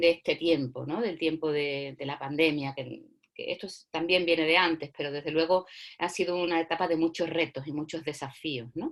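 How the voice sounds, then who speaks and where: In a very clean recording with a silent background, a woman with a fairly low pitch and ordinary pitch variation uses a normal speaking voice. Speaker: workshop facilitator. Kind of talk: lecture.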